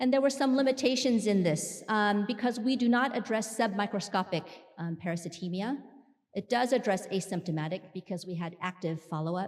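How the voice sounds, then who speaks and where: Her pace is fairly quick. The woman's medium pitch carries lively intonation. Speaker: clinical researcher giving a conference talk. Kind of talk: scientific conference presentation. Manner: loud.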